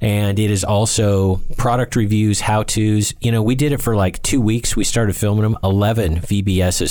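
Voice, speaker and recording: Noticeable background noise sits behind a man's fairly low voice. He keeps a moderate pace and fairly even intonation. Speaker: podcast host and author. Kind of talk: casual chat.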